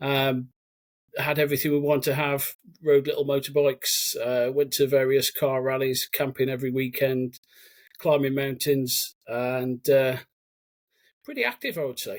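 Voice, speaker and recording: With a slight Birmingham accent, a man speaks at a moderate pace in a fairly high voice, his intonation flat and monotone, broken by long, frequent pauses. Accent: slight Brummie twang. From English Midlands, Cannock, Staffordshire. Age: 40s. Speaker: army veteran. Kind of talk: podcast interview.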